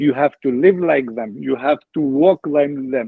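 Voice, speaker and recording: With an Albanian accent, a man speaks at a fairly slow pace and a fairly high pitch, his intonation lively. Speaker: former footballer. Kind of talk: interview. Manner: halting.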